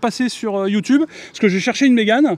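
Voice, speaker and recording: On a very clean recording with a silent background, a man speaks at a high pitch with ordinary pitch variation. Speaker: YouTuber, electric car channel host. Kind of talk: casual presentation to camera with group. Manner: loud, expressive.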